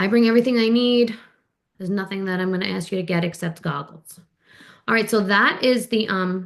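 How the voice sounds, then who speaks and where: A woman speaks at a medium pitch. She talks fairly quickly, with ordinary pitch variation. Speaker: physical therapist and swim instructor. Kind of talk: Q&A session, casual explanation. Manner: fast.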